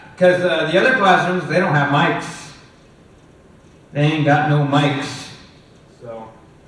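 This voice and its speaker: A man speaks fairly slowly with long, frequent pauses, at a fairly high pitch with ordinary variation. Noticeable background noise is present. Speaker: film lecturer. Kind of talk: lecture. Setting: classroom with microphone. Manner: hesitant, many fillers.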